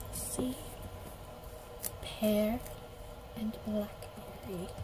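A woman whispers in a soft-spoken way as noticeable background noise carries on. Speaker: ASMR creator. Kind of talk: ASMR unboxing and review, casual talk to camera. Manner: whispered, soft-spoken. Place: home room. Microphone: phone near.

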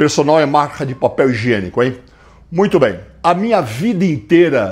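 A man speaks with very wide pitch swings. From Brazil. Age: 60s. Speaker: fitness coach. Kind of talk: tutorial. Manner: casual, conversational. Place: gym. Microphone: lapel.

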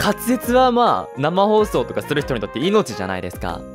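Music is playing in the background. A man talks fairly quickly over it. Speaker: live streamer. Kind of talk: casual talk to camera.

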